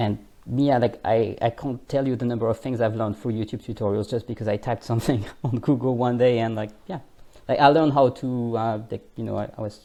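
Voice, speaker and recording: Talking very fast with a French accent, a man has a dark, mellow tone, a medium pitch, and fairly even intonation. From France. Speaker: language coach. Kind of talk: interview. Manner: hesitant, filler-heavy.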